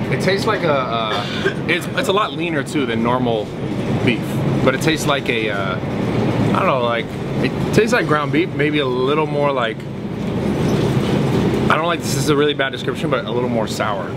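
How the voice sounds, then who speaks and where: Loud background noise fills the clip. A man speaks fairly quickly through it. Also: ordinary pitch variation. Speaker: fitness vlogger. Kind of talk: casual explanation. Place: shop. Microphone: camera far.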